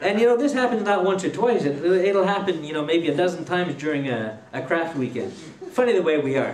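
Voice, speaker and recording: Here a man with a Quebec accent speaks at a high pitch with lively intonation and a moderate pace. Light background noise and audible room echo are present. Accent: Québécois French accent in English. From Quebec, Trois-Rivières. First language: French. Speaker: woodturner giving a demo. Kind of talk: live demonstration to a club audience; joke telling. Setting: room with a live audience. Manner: hesitant, many fillers. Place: hall. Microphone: headset.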